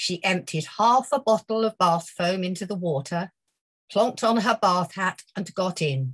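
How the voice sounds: The background stays quiet. A natural reading voice shows ordinary pitch variation.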